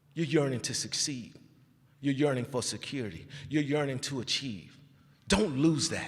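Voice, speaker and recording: Animated and somewhat breathy, a man speaks with an American accent at a moderate pace, leaving long, frequent pauses. His pitch is fairly high with ordinary variation. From Texas, Fort Worth (Stop Six). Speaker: commencement speaker, hospital leader. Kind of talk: commencement speech. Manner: animated, preacher-like.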